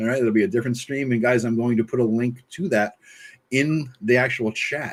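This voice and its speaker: At a fairly quick pace, a man speaks in a medium pitch with fairly even intonation. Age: 50s. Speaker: YouTube host, interviewer. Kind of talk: casual interview. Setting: live stream. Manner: fast.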